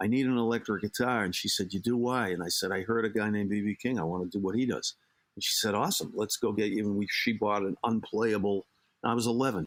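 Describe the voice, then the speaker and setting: The speaker has a Boston accent and talks at a very fast pace. Loudness stays very even. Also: man, fairly low pitch for a man. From Boston area, Massachusetts. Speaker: life coach and psychotherapist. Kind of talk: interview conversation. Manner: animated, talkative.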